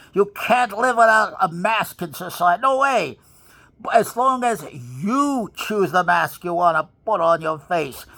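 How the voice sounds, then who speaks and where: Speaking in a New York accent at a fairly slow pace, a man uses a bright, sharp tone and lively intonation in a very clean recording with a silent background. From New York City (Bronx). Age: 80s+. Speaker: motivational speaker. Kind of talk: motivational monologue. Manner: forceful.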